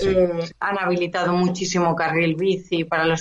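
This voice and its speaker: A woman talks at a moderate pace and a fairly low pitch in a plain, everyday voice. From Catalonia, Spain (Esplugues, near Barcelona). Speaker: business owner. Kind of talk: interview.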